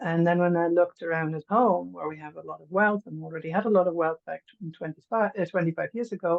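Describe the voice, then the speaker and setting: A woman's fairly low voice at a very fast pace, with hardly any pauses, fairly even intonation and big swings in loudness. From Germany. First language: German. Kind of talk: workshop share.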